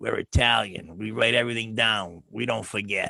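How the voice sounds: Using a put-on character voice, a man talks in a raspy tone at a medium pitch and a moderate pace.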